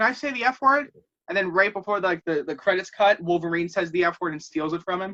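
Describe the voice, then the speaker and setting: A man's raised, projected voice, bright and sharp in tone and animated, with very wide pitch swings and a dry, close sound with no echo. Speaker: podcast host. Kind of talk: casual chat. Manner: fast, animated.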